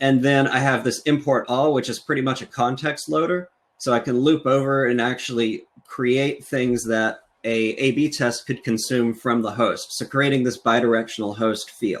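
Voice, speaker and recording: A man's medium-pitched voice is an unremarkable speaking voice. His pace is moderate, and his intonation stays fairly even. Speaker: software engineer and conference speaker. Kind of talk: technical conference talk with live demo.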